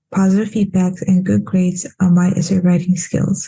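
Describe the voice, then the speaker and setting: With a non-native accent, the voice is somewhat breathy and dark and mellow in tone, moving at a moderate pace in a flat monotone. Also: woman. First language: not English. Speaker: international student. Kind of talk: prepared testimony.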